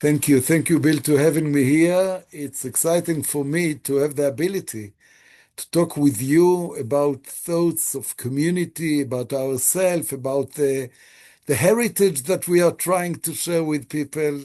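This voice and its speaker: A man speaks at a moderate pace with a fairly high pitch and ordinary pitch variation. His tone is dark and mellow over a quiet background. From Israel. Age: 60s. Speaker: rabbi. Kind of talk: interview.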